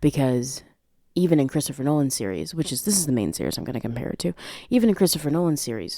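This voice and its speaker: A woman's very deep, low voice, dark and mellow in tone, relaxed, with lively intonation. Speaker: podcast host; aspiring voice actress. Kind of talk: casual film commentary. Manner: relaxed, casual.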